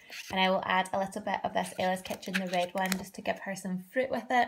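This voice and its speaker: A woman with a Scottish accent, medium-pitched, fairly quick and fairly even in intonation. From Scotland. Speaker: parenting vlogger. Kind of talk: casual vlog.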